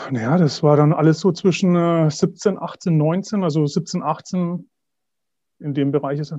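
Over a quiet background, a man's dark, mellow voice shows ordinary pitch variation. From Middle Franconia, Bavaria. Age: 40s. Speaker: pilgrim and cancer survivor. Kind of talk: interview.

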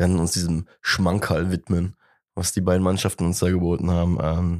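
A man speaks at a fairly slow pace in a very deep, low voice. The recording is very clean, with a silent background. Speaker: football podcast host. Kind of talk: casual chat. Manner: animated.

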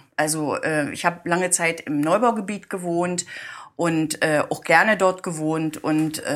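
A woman talks at a moderate pace. Her voice is very deep and low. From eastern Germany, Brandenburg (Guben). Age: 60s. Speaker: municipal building department head. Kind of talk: casual interview.

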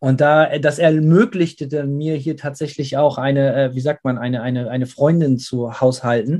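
With a dark, mellow tone and fairly high pitch, a man keeps a moderate pace with hardly any pauses. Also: fairly even intonation. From Germany. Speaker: metal band singer. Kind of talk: interview. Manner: casual, with English interjections.

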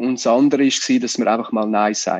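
Fairly quick male speech in a quiet setting. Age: 20s. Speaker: magician. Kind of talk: interview.

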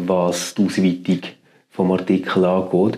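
This is a man speaking. His pace is very slow. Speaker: podcast host. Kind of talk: interview.

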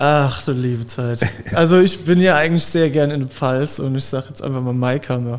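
Noticeable background noise accompanies a man whose fairly high voice moves at a moderate pace. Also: ordinary pitch variation. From Germany, Palatinate (Zellertal). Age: 20s. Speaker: winemaker. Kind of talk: casual interview.

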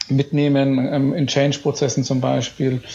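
At a fairly slow pace, the speaker talks in an ordinary speaking voice. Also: man. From Bavaria, Upper Franconia (Bayreuth). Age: 30s. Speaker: business association chairman and company executive. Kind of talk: podcast interview.

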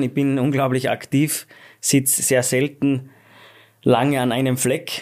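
Speaking at a moderate pace and medium pitch, a man keeps to a monotone, flat intonation. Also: very clean recording, silent background. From Austria, Schladming (Styria). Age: 30s. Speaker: ski company executive. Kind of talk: interview. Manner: hesitant, many fillers.

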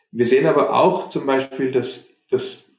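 Here a man speaks at a medium pitch. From Germany, Munich. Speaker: fund manager. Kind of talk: interview. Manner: halting, many repetitions and fillers.

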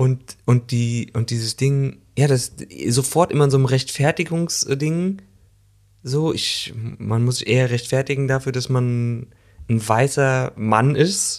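He talks at a very slow pace. The man's voice sits at a medium pitch. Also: ordinary pitch variation. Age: 40s. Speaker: actor and podcast co-host. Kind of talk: casual chat. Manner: animated.

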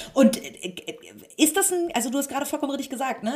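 This woman's voice is somewhat breathy. Her intonation is lively. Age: 30s. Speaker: magazine publisher and interviewer. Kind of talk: interview. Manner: hesitant with many fillers.

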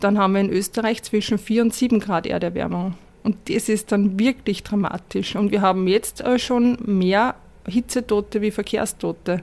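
At a moderate pace and medium pitch, a woman speaks with fairly even intonation and very even loudness. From Upper Austria. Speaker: sustainability consultant. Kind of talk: interview. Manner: halting.

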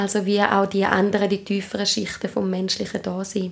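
A woman with an Appenzell accent amid noticeable background noise. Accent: Swiss German (Appenzell). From Switzerland, Appenzell. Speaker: trauma therapist and ritual leader. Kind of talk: interview. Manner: hesitant, many fillers.

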